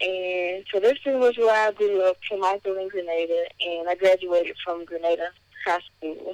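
In a Southern US accent, a woman speaks at a moderate pace in a medium pitch with fairly even intonation, recorded with a dry, close sound and no echo. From Mississippi (Kilmichael, rural). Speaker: college student and vlogger. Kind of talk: casual interview.

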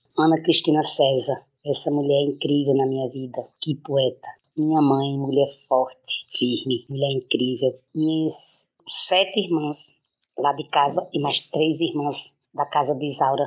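A woman talks at a fairly slow pace in a very deep, low pitch, her intonation monotone and flat. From Brazil, Pernambuco backlands (Araripe). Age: 50s. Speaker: poet and city councillor. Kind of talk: interview.

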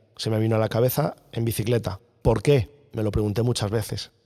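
In a central Spanish accent, a man with a dark, mellow tone and medium pitch speaks at a moderate pace with fairly even intonation. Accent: central Peninsular Spanish. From central Spain, Guadalajara. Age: 40s. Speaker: long-distance cycling traveller. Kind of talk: interview storytelling.

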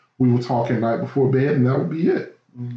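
Somewhat breathy and at a medium pitch, a man talks at a fairly quick pace. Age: 30s. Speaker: podcast guest. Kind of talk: casual chat.

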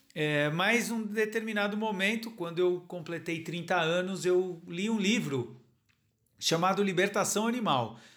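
Audible room echo surrounds a man whose high voice moves with ordinary pitch variation. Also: fairly slow pace. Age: 40s. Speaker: novelist. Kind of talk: interview. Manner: hesitant, many fillers.

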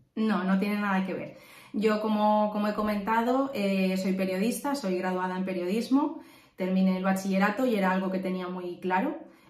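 Audible room echo surrounds a woman who speaks at a moderate pace with ordinary pitch variation. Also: medium pitch for a woman. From Valencia, Spain. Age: 30s. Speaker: real estate investor. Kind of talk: interview.

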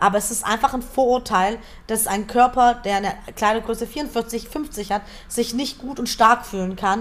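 Fairly even intonation runs through a plain, everyday voice that keeps a moderate pace. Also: woman. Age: 20s. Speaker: author and speaker. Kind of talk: interview.

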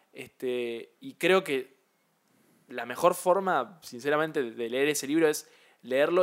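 This man has an unremarkable speaking voice, fairly high in pitch with ordinary pitch variation. His volume swings a lot. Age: 20s. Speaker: podcast co-host. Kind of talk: casual chat.

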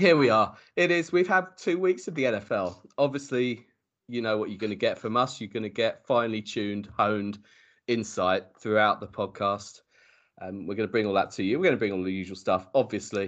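Against a quiet background, a man with a plain, everyday voice and a fairly low pitch speaks at a moderate pace with lively intonation. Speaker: podcast host. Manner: jokey, chatty.

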